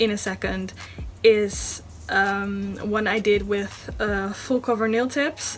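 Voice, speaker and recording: Over music in the background, a woman with a Dutch accent talks at a very slow pace in a fairly high pitch. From Netherlands. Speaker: beauty vlogger. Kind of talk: tutorial. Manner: halting, many fillers.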